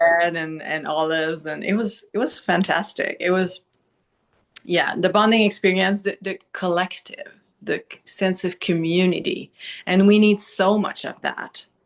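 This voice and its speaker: A woman with a Quebec accent, fairly slow pace and fairly even intonation. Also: medium pitch for a woman. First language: Quebec French. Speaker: doctor, podcast guest. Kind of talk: casual chat. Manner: halting.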